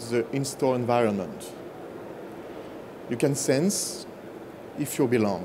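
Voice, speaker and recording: A man with a strong French accent is heard with audible room echo and noticeable background noise. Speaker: business executive. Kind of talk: conference presentation.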